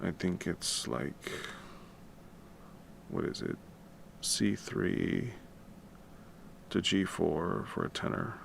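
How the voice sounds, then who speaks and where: Very slowly, a man speaks with long, frequent pauses. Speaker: musician and composer livestreaming. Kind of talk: casual livestream tutorial. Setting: home at night, livestream. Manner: quiet, keeping voice down; casual, with many fillers.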